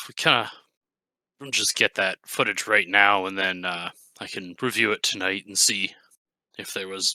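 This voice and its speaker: Putting on a raspy character voice, a man delivers his lines at a moderate pace. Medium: actual play. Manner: hesitant, polite.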